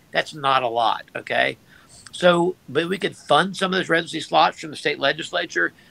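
A man's plain, everyday voice with an American accent, fairly high-pitched and at a fairly quick pace. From Georgia, US South. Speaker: physician and columnist. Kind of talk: interview.

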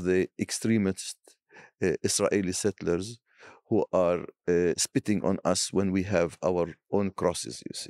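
A man's fairly low, dark, mellow voice with an Arabic accent at a fairly slow pace, in a very clean recording with a silent background and a dry, close sound with no echo. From Palestine. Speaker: bishop. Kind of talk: interview.

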